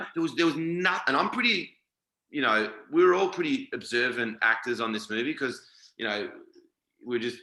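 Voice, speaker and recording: With an Australian accent, a man speaks at a fairly quick pace in a bright, sharp tone. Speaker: actor. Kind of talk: interview.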